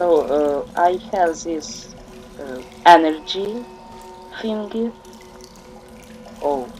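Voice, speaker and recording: Speaking very slowly with long, frequent pauses, a man uses a high pitch and lively intonation, in a Ukrainian accent. Noticeable background noise is present. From Ukraine. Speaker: gaming YouTuber. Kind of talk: let's play commentary. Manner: halting, many fillers.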